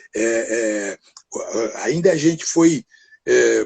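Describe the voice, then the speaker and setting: A man speaks with a dry, close sound that carries no echo. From Brazil, São Paulo state interior (Pinhal). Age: 70s. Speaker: actor. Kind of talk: interview conversation. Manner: halting, many fillers.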